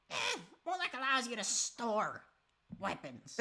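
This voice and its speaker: In a put-on character voice, the speaker moves at a moderate pace, the pitch swinging very widely. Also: woman, fairly high pitch for a woman. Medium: actual play. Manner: casual, offhand, salesy.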